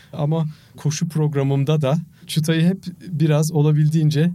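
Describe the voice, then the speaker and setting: This man's delivery is monotone and flat, with a dark, mellow tone. He speaks at a fairly slow pace and a fairly high pitch for a man. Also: very even loudness. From Turkey. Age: 50s. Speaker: marathon runner and charity fundraiser. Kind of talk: interview.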